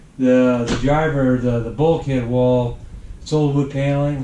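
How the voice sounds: With audible room echo, a man speaks at a medium pitch and fairly slow pace in a dark, mellow tone with little pitch movement.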